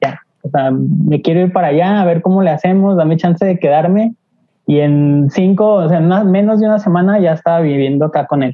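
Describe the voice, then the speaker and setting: At a fairly quick pace, a woman with a plain, everyday voice and fairly low pitch speaks at very even loudness with ordinary pitch variation. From Mexico, Aguascalientes. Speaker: graphic designer. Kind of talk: casual chat.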